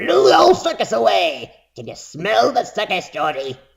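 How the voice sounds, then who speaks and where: A man's put-on character voice, high-pitched for a man, at a moderate pace. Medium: read story. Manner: sing-song luring.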